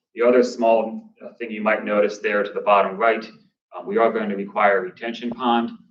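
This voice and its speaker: Audible room echo surrounds a man talking at a fairly quick pace and medium pitch, his intonation monotone and flat while his loudness swings widely. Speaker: developer presenting a project. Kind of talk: presentation to town council. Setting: town council meeting. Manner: fast.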